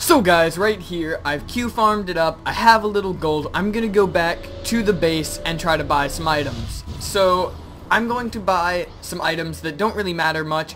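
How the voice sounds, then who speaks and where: Speech comes at a moderate pace. Music plays in the background. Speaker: gaming youtuber. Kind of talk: gameplay commentary. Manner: stuttering, many filler ums.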